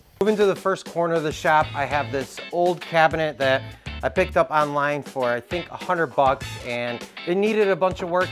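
Clear background music behind a man talking at a fairly quick pace with ordinary pitch variation. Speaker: woodworking channel host. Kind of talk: casual shop tour commentary. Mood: upbeat, joking.

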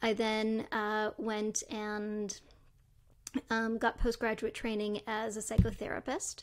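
A woman talks in a Canadian accent at a fairly high pitch. The background is quiet. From Canada, Toronto. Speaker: neuroscientist and tech entrepreneur. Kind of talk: interview conversation. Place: home room. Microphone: studio mic.

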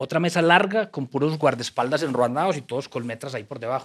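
With a Colombian paisa accent, a man speaks using ordinary pitch variation against a quiet background. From Colombia, Antioquia (paisa). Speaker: writer and former troubadour; guest. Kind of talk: casual interview. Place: studio. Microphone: studio mic.

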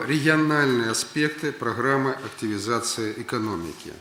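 With a Russian accent and ordinary pitch variation, the speaker goes at a fairly slow pace over noticeable background noise. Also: man. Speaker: prime minister. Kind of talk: official speech at government meeting.

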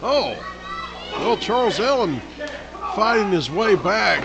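Speaking in a Southern US accent, a man goes at a fairly slow pace. Noticeable background noise runs behind him. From US South. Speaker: wrestling commentator. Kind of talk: live commentary. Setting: live event arena. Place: hall.

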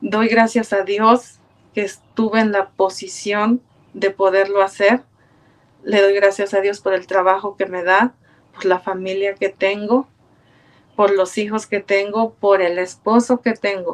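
A woman speaking at a fairly slow pace in a flat, monotone delivery. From Mexico, Puebla. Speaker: churchgoer, choir member. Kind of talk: testimony. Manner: halting. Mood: warm, grateful, reflective. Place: home room. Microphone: webcam.

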